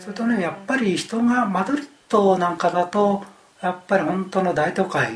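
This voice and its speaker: At a moderate pace, a man speaks in a high pitch with ordinary variation over noticeable background noise. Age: 60s. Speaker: retiree studying abroad. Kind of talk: casual chat.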